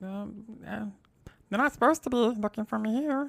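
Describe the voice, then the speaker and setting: A woman's put-on character voice, fairly high in pitch, at a moderate pace, with a dry, close sound and no echo. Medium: actual play. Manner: hesitant, soft-spoken.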